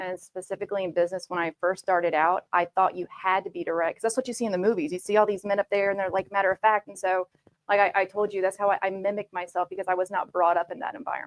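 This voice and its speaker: Speaking at a very fast pace with hardly any pauses, a woman with a medium pitch keeps her intonation fairly even in a dry, close sound with no echo. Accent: Southern US. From US South, Georgia. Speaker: tech manager, panelist. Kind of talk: panel discussion.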